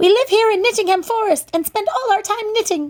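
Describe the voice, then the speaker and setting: In a put-on character voice, a woman talks at a fairly quick pace, squeaky and extremely high in pitch. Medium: read story.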